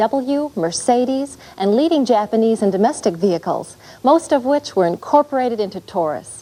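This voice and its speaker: Speaking at a fairly quick pace, a woman uses lively intonation in an American accent. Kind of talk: corporate dealer training narration.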